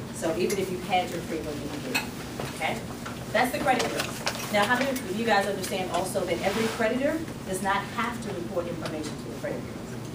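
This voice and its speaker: The speech comes at a very fast pace. Loud background noise is present. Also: woman. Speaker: credit restoration speaker and author. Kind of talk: workshop talk. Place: meeting room. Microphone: camera far.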